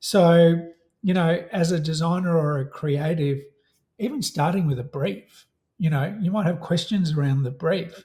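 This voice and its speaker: With an Australian accent, a man talks at a moderate pace in a high pitch with a dark, mellow tone and ordinary pitch variation. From Australia, Melbourne. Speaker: software company representative. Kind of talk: casual interview.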